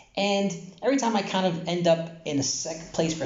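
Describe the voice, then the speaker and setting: A man speaks at a moderate pace, and the room echo is audible. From New York, Brooklyn. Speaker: Torah teacher. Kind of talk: casual Torah talk. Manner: casual, halting with fillers.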